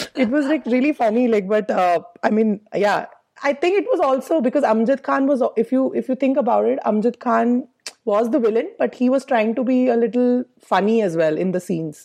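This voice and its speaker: A woman speaks at a high pitch and a fairly quick pace, her intonation lively and her loudness very even. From India, Jammu and Kashmir. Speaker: comedian. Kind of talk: casual chat.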